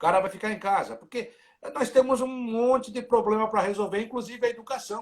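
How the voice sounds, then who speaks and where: A man talks at an extremely high pitch with fairly even intonation. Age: 60s. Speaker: sports reporter. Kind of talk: casual interview chat. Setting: live video stream.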